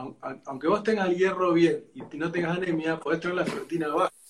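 Speaking in an Argentine accent, a man with a high pitch keeps his intonation fairly even. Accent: Argentine Spanish (rioplatense voseo). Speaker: physician and gastroenterologist, host. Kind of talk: live interview.

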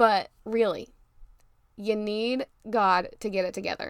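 Heard in a very clean recording with a silent background, a woman speaks at medium pitch in an animated, warm tone. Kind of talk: pep talk. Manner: warm, encouraging, preachy.

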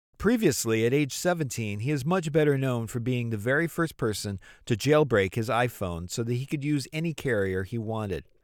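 On a very clean recording with a silent background, a man with an unremarkable speaking voice talks at a fairly quick pace and medium pitch, with lively intonation and hardly any pauses. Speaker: podcast host. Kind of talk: scripted narration and interview questions.

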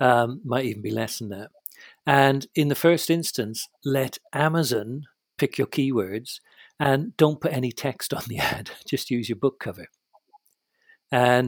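A man with a British accent speaks at a fairly slow pace and medium pitch with ordinary pitch variation, in a dry, close sound with no echo. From Britain. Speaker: novelist. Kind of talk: casual chat.

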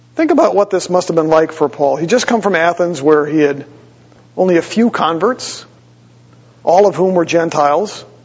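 A man with an American accent talks at a high pitch and moderate pace with ordinary pitch variation, against noticeable background noise. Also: very even loudness. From Wisconsin, US Midwest. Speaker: pastor. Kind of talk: sermon.

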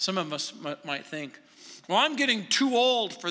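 A man speaks in a raised, projected voice. His tone is bright and sharp, with very wide pitch swings. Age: 60s. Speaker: pastor. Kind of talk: sermon. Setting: church.

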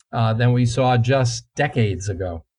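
In an American accent, a man speaks at a moderate pace with a dark, mellow tone that is somewhat breathy. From New Jersey. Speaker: climatologist, professor. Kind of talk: interview.

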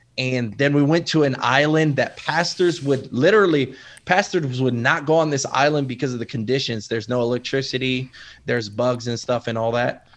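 With an American accent, a man talks at a fairly quick pace in an unremarkable speaking voice, medium in pitch with ordinary pitch variation, against a quiet background. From Waterbury, Connecticut. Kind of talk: interview.

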